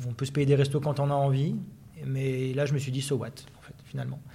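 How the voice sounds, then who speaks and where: Fairly high in pitch and somewhat breathy, a man's voice comes through. He talks fairly quickly with fairly even intonation. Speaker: sports journalist. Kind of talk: interview. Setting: business club office premises.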